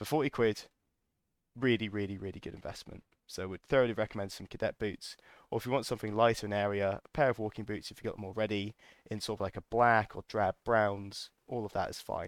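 In a British accent, a man with a fairly low pitch and fairly even intonation talks at a very fast pace with big swings in loudness, on a very clean recording with a silent background and a dry, close sound with no echo. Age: 20s. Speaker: podcast host. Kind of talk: casual monologue.

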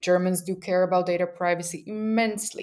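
A woman with a Slovak accent and a fairly low voice speaks at a moderate pace on a very clean recording with a silent background. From Slovakia (Bratislava). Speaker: user researcher and podcast host. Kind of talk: casual interview conversation.

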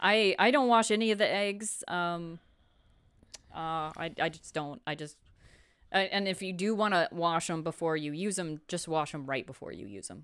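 A woman with a normal speaking voice talks at a moderate pace in a fairly low pitch. Her intonation is lively, with big swings in loudness. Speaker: co-host, chicken keeper. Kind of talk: live show, casual chat. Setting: studio, live stream.

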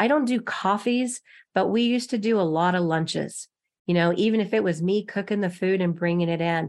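In an unremarkable speaking voice, a woman with an American accent talks at a fairly quick pace and medium pitch, with ordinary pitch variation, very even loudness and a quiet background. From Texas. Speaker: loan officer. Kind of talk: interview.

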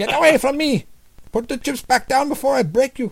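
In a shaky, high put-on character voice, the speaker talks at a fairly quick pace. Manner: frightened, shaky, bluffing.

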